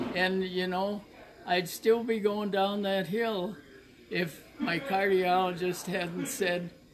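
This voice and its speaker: A man speaks very slowly in a high voice. Noticeable background noise is present. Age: 80s+. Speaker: nonprofit founder. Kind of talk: heartfelt thank-you message.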